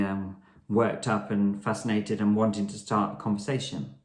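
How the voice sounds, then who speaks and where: A man's fairly low voice with fairly even intonation, set in audible room echo. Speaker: blogger. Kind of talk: casual vlog tutorial. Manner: fast.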